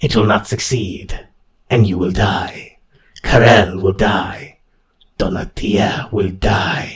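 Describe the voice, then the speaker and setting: Using a put-on character voice, a man speaks in a raspy tone with a fairly low pitch at a very slow pace. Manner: hissing.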